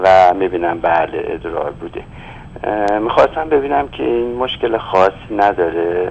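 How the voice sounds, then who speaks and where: A man's very deep, low voice at a fairly slow pace, lively in intonation, over light background noise. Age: 80s+. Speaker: caller. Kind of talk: phone-in question. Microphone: phone line.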